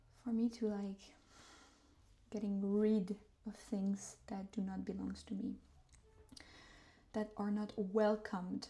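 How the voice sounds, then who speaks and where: A woman with a medium-pitched, somewhat breathy voice and a dark, mellow tone speaks fairly slowly in a monotone, flat intonation, leaving long, frequent pauses. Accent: non-native. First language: not English. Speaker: tarot reader. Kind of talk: guided meditation. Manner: soft-spoken; halting.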